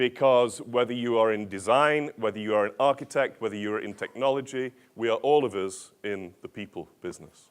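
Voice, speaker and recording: A man with an ordinary speaking voice, medium pitch, a fairly quick pace and hardly any pauses. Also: ordinary pitch variation. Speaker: organizational change consultant and author. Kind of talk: conference keynote talk. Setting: stage with audience and translators.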